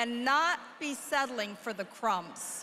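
Raising and projecting her voice, a woman speaks at a fairly slow pace with ordinary pitch variation. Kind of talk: formal speech. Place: hall. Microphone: podium.

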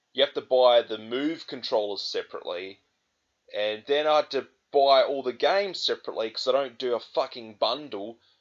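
With an Australian accent, a man speaks at a fairly quick pace in an angry tone. The background is quiet. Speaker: gaming vlogger. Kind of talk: angry rant; vlog monologue to camera. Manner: angry, swearing, exasperated; repetitive, hesitant with fillers. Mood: angry, frustrated. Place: home room. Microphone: webcam.

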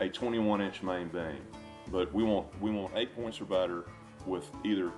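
A man's very deep, low voice at a moderate pace with ordinary pitch variation, over clear music in the background. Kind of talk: interview answer. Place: home room. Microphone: lapel.

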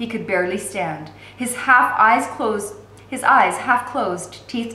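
Ordinary pitch variation marks the speech, given in an unforced reading voice.

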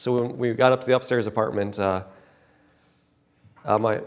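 Behind the voice, the background stays quiet. The speech moves at a moderate speed. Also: man. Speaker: speaker. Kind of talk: personal testimony talk. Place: hall. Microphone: lapel.

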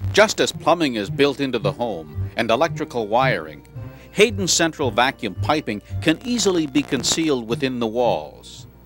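Music plays in the background as a man talks at a moderate pace. His medium-pitched voice makes very wide pitch swings. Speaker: infomercial announcer. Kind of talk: TV infomercial voiceover.

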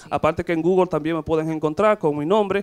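Pitched high, a man talks at a very fast pace. His intonation is fairly even, over a quiet background. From Dominican Republic. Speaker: gynecologist. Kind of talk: TV interview. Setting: studio. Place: studio. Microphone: handheld.

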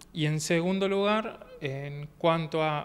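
Here a man speaks at a fairly high pitch. His intonation is fairly even, over light background noise. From Argentina, Córdoba province (Ordóñez); Córdoba province, Argentina. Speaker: masters athlete; interviewee. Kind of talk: interview. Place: meeting room. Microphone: handheld.

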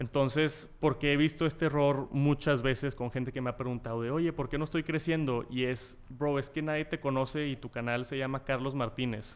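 In a Mexican accent, a man talks at a moderate pace with hardly any pauses, his fairly high pitch following fairly even intonation. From Mexico. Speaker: tech youtuber. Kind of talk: casual interview. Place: meeting room. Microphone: studio mic.

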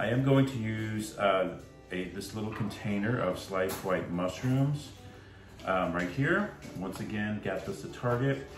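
Clear music plays in the background as a man speaks fairly slowly at a fairly low pitch. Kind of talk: cooking tutorial. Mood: relaxed, friendly. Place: kitchen. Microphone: phone near.

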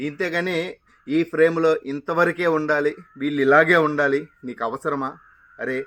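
Bright and sharp in tone, a man's fairly high voice keeps a fairly even intonation while its loudness swings widely. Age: 50s. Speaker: retiring stage actor and video creator. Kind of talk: monologue to camera. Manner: dramatic, theatrical delivery.

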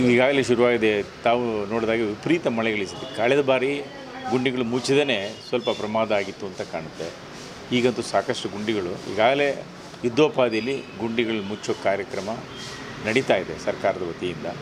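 A man's medium-pitched voice is heard against noticeable background noise. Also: ordinary pitch variation. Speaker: local politician. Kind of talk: interview. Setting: outdoors.

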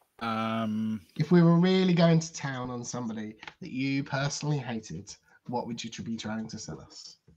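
Light background noise behind a man with a British accent, at a moderate pace. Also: medium pitch for a man, lively intonation, big swings in loudness. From United Kingdom. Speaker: tabletop role-playing game player, co-host; co-host. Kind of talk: live-streamed tabletop role-playing session, casual banter. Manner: enthusiastic. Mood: playful, amused. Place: home room. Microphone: video call.

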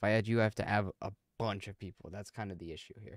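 This man talks at a fast pace with a fairly low pitch and fairly even intonation, recorded with a dry, close sound and no echo.

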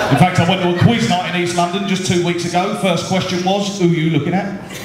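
A man talks at a fairly quick pace. Loud background noise and audible room echo surround him. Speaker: stand-up comedian and after dinner speaker. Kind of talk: live stand-up comedy to an audience with crowd banter. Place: hall. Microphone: handheld.

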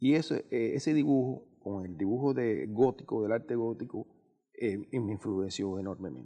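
The voice has a dark, mellow tone and ordinary pitch variation, moving at a fairly slow pace against a quiet background. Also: man, medium pitch for a man. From Cuba, Guanabacoa near Havana; Cuba. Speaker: painter; interviewee. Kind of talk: TV interview. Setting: TV studio. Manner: halting, many fillers. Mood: calm, reflective. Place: studio.

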